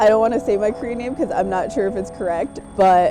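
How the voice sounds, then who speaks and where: Noticeable background noise behind a woman speaking with normal pitch movement. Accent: American. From New York State (Kingston). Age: 30s. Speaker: Korean adoptee interviewee. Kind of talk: documentary interview.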